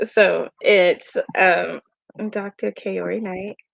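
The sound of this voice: A woman puts on a character voice, raspy and at a medium pitch. The sound is dry and close, with no echo.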